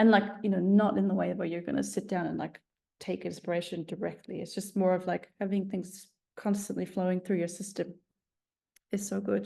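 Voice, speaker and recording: Spoken at a fairly quick pace with an Icelandic accent. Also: woman. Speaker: songwriter. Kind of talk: online masterclass lecture. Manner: hesitant, many filler words.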